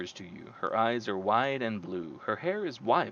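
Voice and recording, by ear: This is reading aloud in a natural voice.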